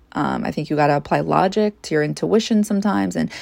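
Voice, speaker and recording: In a very clean recording with a silent background, a woman talks at a fairly quick pace with a Long Island accent. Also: dry, close sound with no echo. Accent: New York (Long Island). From US, Long Island, New York. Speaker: psychic podcaster. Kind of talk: casual monologue.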